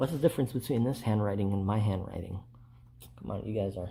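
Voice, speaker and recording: A soft-spoken man talks at a very fast pace in a fairly low, somewhat breathy voice with a dark, mellow tone and ordinary pitch variation. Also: very clean recording, silent background. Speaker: First Amendment auditor. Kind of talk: casual vlog talk to camera.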